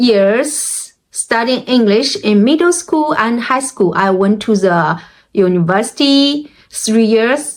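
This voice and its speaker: A woman speaks with a Chinese accent. Her pitch is fairly high. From China. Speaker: language learning vlogger. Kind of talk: personal experience talk. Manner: halting.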